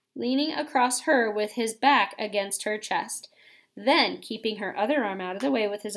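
The clip is plain reading aloud, and the pitch moves in an ordinary way.

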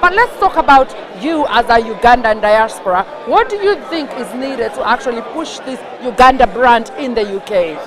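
This woman talks at a moderate pace in a high voice whose pitch swings very widely, with noticeable background noise behind her. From Kenya. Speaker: TV presenter. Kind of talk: on-location interview. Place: hall.

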